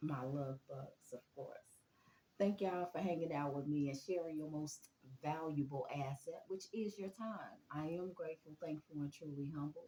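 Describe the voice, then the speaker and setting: A woman speaks quietly at a moderate pace. Her voice is very deep and low. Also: ordinary pitch variation. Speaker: spiritual reader, YouTuber. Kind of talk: casual spiritual reading vlog. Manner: kept low, quiet; animated, chatty.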